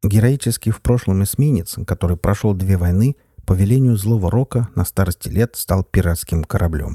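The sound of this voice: Pitch moves in an ordinary way. The reading voice is unforced.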